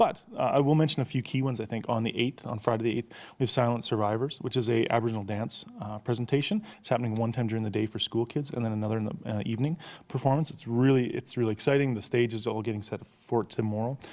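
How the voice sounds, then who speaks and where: The man talks at a very fast pace. His pitch is medium, with fairly even intonation. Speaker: theatre executive director. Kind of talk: casual interview chat.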